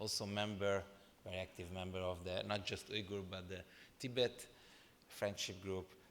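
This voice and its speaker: Speaking in a Hungarian accent, a man with a very deep, low pitch talks at a moderate pace in a monotone, flat delivery with long, frequent pauses, audible room echo and noticeable background noise. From Transylvania, Romania (Hungarian minority). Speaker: former member of European Parliament, panel speaker. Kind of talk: conference speech. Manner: halting, with fillers.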